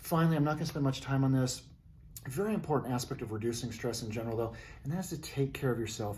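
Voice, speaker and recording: A somewhat breathy man at medium pitch, very fast pace and ordinary pitch variation, with audible room echo. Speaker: hospital CEO and video presenter. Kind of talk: talking-head advice video. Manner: animated, conversational.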